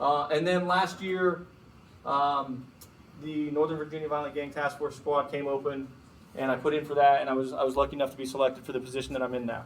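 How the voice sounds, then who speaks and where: The speech comes at a very fast pace with fairly even intonation. Room echo can be heard. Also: man, fairly high pitch for a man. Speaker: FBI agent giving a guest talk. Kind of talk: lecture.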